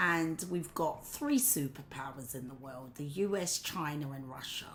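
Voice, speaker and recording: A woman with an English accent has a very deep, low pitch and ordinary pitch variation. She talks at a fairly slow pace, with big swings in loudness. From England. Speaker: political commentator vlogger. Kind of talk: opinion monologue. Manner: casual with filler words.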